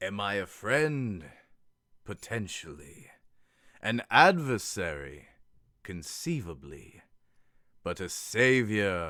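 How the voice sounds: A man's put-on character voice, fairly low in pitch, very slow, with long, frequent pauses, over a silent background in a very clean recording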